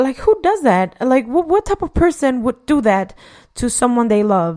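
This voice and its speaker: With a non-native accent, a woman talks at a moderate pace in a high voice with very wide pitch swings, the sound dry and close with no echo. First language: not English. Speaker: podcast host. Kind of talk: solo podcast monologue. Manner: halting. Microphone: new equipment, says voice sounds clear.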